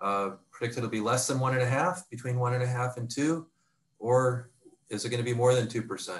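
Speaking at a fairly quick pace, a man has a somewhat breathy voice at medium pitch with fairly even intonation. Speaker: restructuring advisory executive; panel host. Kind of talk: webinar presentation. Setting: video conference. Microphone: video call.

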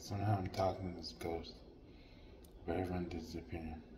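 Through noticeable background noise comes a man's very deep, low-pitched voice. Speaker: vlogger. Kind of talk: casual storytelling vlog. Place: home room. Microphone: phone near.

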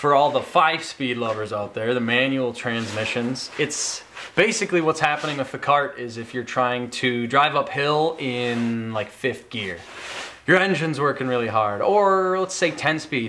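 Light background noise is present. The speaking pace is moderate. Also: man. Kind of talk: casual vlog explanation. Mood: playful, joking. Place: garage. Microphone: camera far.

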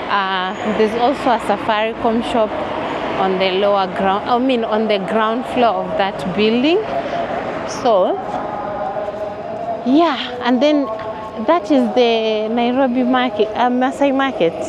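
A woman speaks fairly slowly with ordinary pitch variation, leaving long, frequent pauses. The sound is dry with no echo, though loud background noise is present. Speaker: walking tour vlogger. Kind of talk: casual vlog chat. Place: street.

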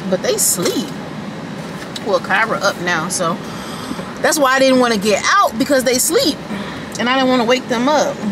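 Dry sound with no echo and noticeable background noise. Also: woman. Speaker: family vlogger. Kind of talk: casual vlog chat. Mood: excited. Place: car. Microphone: phone near.

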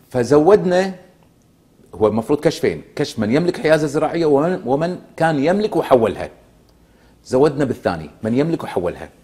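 With a Kuwaiti accent, a man speaks at a moderate pace in a fairly high pitch, his dark, mellow tone carrying vocal fry and lively intonation. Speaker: former member of parliament; guest. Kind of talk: political TV interview. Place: studio. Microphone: lapel.

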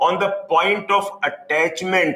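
With audible room echo, a man speaks in a raised, projected voice. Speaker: teacher. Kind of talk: lecture. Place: classroom. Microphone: lapel.

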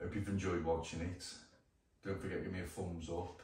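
The speech moves at a fairly quick pace. Light background noise and audible room echo are present. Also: man. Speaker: vlogger. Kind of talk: casual vlog chat. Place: garage. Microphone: camera far.

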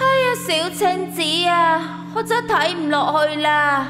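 A high-pitched, put-on character voice comes through at a fairly slow pace. Loud music plays in the background.

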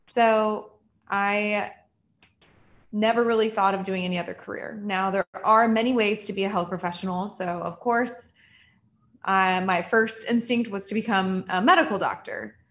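With a Californian accent, a woman talks at a moderate pace in a somewhat breathy voice with fairly even intonation. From Southern California. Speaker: general dentist. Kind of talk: online presentation. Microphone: video call.

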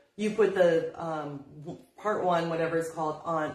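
Room echo is audible around a woman's fairly low voice. Her pitch varies an ordinary amount. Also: quiet background. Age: 50s. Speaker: craft shop owner teaching furniture painting; paint instructor. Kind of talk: live-streamed painting tutorial. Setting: Facebook live video in her store. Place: shop. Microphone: phone near.

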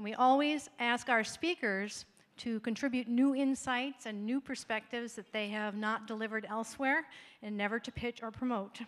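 With fairly even intonation, a woman talks at a moderate pace in a fairly high pitch. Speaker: event host. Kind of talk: formal event introduction. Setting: stage with audience. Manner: formal. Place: stage. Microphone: handheld.

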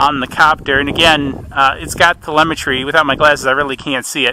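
Light background noise, a moderate pace and a dry sound with no echo. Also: man. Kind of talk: casual live commentary. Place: open country.

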